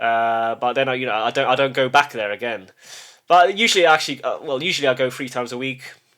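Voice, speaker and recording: A man speaks very fast with a British accent. His pitch is medium and his tone bright and sharp. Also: ordinary pitch variation. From UK, Polish family. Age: 30s. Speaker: YouTuber. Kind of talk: casual monologue. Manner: halting, many repetitions and false starts.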